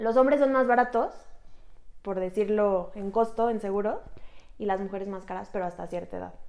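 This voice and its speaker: With a Mexican accent, a woman of medium pitch talks at a fairly quick pace with ordinary pitch variation, big swings in loudness, and long, frequent pauses. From Mexico. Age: 30s. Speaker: insurance agent and podcast host. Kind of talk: casual explanatory chat.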